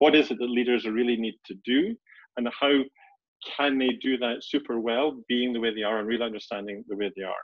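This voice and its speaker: A man with a Scottish accent talks at a fairly quick pace. The sound is dry with no echo, and the background is quiet. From Scotland, Edinburgh. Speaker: executive coach. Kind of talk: webinar presentation. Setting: video call. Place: home room. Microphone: webcam.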